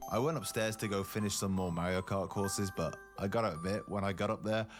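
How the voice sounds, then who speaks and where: Over background music, a man speaks at a very fast pace with audible room echo. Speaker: travel vlogger. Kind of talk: vlog narration. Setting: on a night bus.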